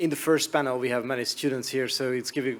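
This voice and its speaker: A man talks at a medium pitch. He has a Hungarian accent. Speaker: media regulator. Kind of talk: conference presentation.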